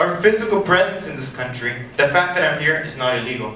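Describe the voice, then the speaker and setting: A man with an East Los Angeles accent talks at a fairly quick pace with ordinary pitch variation, with audible room echo and noticeable background noise. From East Los Angeles, California (born in Mexico). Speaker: student speaker. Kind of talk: personal testimony speech. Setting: stage with audience.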